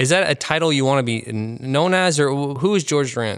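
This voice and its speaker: A man talks at a fairly quick pace and medium pitch. His is an unremarkable speaking voice. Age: 30s. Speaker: podcast host. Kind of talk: interview; scripted intro. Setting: expo venue.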